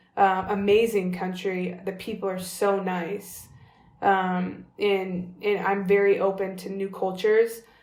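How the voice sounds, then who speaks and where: In an American accent, a woman speaks fairly slowly at a medium pitch with monotone, flat intonation and audible room echo. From California, US. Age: 30s. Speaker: professional basketball player. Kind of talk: interview conversation. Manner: casual, filler-heavy.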